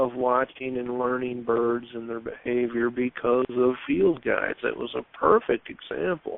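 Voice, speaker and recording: In a Southern US accent, a man talks at a moderate pace with hardly any pauses. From Michigan, Sault Ste. Marie Chippewa. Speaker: caller. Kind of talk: radio call-in question.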